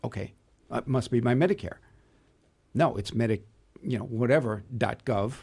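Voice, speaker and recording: Somewhat breathy, a man speaks at a medium pitch with long, frequent pauses. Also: ordinary pitch variation, moderate pace. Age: 60s. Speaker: cybersecurity expert. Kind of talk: interview. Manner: halting, with frequent repetitions.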